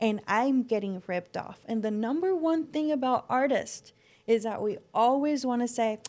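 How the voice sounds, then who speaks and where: Speaking at a moderate pace, a woman with a Spanish accent has a high pitch and lively intonation. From Mexico and southern California. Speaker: floral designer and business owner. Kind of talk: podcast interview.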